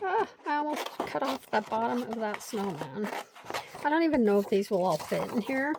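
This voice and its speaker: Over noticeable background noise, a woman speaks at a moderate pace in a fairly high pitch with very wide pitch swings. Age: 50s. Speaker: craft video creator. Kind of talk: casual craft tutorial chat. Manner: chatty, rambling with fillers.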